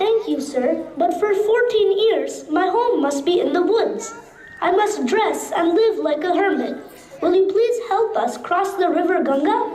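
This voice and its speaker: Doing a cartoonish character voice, a woman speaks at an extremely high pitch and a moderate pace, with very even loudness and slight echo. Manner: calm, dignified.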